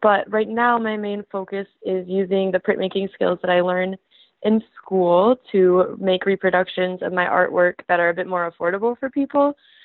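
A woman with a normal speaking voice and an American accent, medium pitch, fairly even intonation, moderate pace. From Michigan, US. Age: 20s. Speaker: art student and printmaker. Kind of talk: casual interview.

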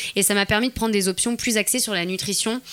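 With noticeable background noise behind her, a woman talks at a fairly quick pace. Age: 20s. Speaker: fitness YouTuber. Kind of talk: interview. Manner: animated.

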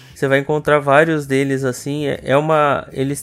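A man's fairly high-pitched voice. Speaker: podcast co-host. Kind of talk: casual chat.

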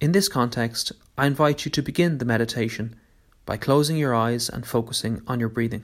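A man's plain, everyday voice at medium pitch, fairly quick pace and ordinary pitch variation, on a very clean recording with a silent background. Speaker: meditation guide. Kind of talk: guided meditation. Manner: gentle, calm.

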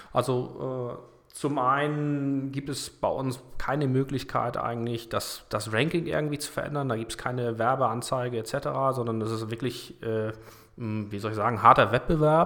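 A man speaks with a bright, sharp tone. His intonation stays fairly even. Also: medium pitch for a man, fairly slow pace. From northern Germany, Kiel. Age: 40s. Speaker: energy startup managing director. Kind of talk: casual interview. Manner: hesitant, many filler sounds.

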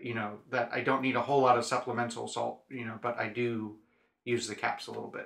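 A man's medium-pitched voice with vocal fry, fairly quick and flat in a monotone delivery. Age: 30s. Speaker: podcast host, amateur ultrarunner. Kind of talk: casual chat.

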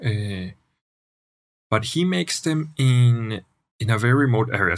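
A man speaks with a Spanish accent at a fairly slow pace. His pitch is medium, with ordinary variation. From Colombia, Manizales (coffee region). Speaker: wine merchant and entrepreneur. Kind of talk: casual chat. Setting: studio.

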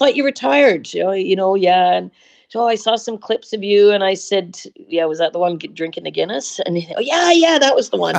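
A woman with a Canadian accent, medium in pitch, speaking at a fairly quick pace with very wide pitch swings. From British Columbia, Canada. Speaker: national team staff member. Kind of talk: interview.

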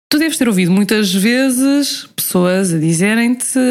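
A woman talks at a moderate pace with lively intonation while music plays in the background. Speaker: podcast host. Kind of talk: casual interview.

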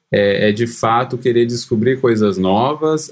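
Here a man has a normal speaking voice at medium pitch. His pace is fairly slow, and his pitch variation is ordinary. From interior of São Paulo state, Brazil (Cosmópolis). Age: 30s. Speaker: software engineer. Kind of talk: casual interview.

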